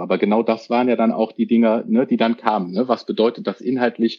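The pace of this man's speech is fairly quick. His pitch stays medium. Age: 40s. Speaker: controller. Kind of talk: casual interview. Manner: hesitant, many fillers.

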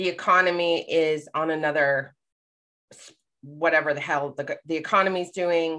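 A woman's fairly low, bright, sharp voice at a moderate pace, with monotone, flat intonation and big swings in loudness. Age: 40s. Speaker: life coach and public speaker. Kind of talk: casual chat.

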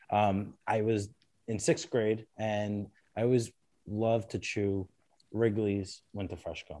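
A man's very slow, dark, mellow voice with an American accent, fairly low in pitch and fairly even in intonation. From Brooklyn, New York (Bensonhurst). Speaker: attorney. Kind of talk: casual interview. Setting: studio.

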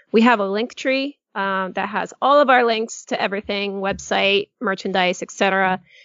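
A woman with a normal speaking voice and an American accent, medium pitch, fairly even intonation, a fairly slow pace and hardly any pauses. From New England, Connecticut. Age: 30s. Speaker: podcast co-host. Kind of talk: casual chat.

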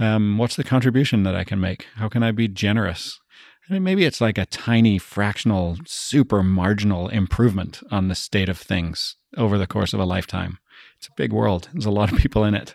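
On a very clean recording with a silent background, a man with an unremarkable speaking voice and a fairly low pitch talks at a fairly quick pace with ordinary pitch variation. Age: 40s. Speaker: business consultancy CEO. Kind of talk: casual chat.

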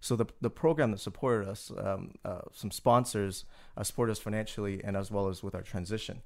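Recorded very cleanly against a silent background, a man with an unremarkable speaking voice talks at a fairly quick pace, his fairly low pitch showing ordinary variation. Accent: Canadian. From Canada, Toronto. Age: 30s. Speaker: business school administrator. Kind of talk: interview.

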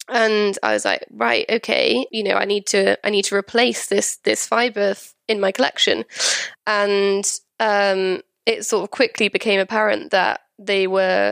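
Speaking slowly with a Welsh accent, a woman keeps her loudness very even, recorded dry and close with no echo against a quiet background. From Wales. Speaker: textile designer. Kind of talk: casual interview.

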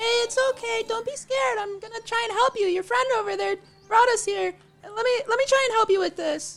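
A squeaky, female-sounding put-on character voice at an extremely high pitch, delivered at a moderate pace. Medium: actual play. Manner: bubbly, naive.

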